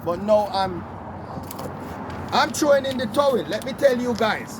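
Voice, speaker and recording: This man has a high voice and a Jamaican accent, with ordinary pitch variation. Noticeable noise sits in the background. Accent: Caribbean (Jamaican) English. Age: 70s. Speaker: commuter van operator. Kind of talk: casual chat.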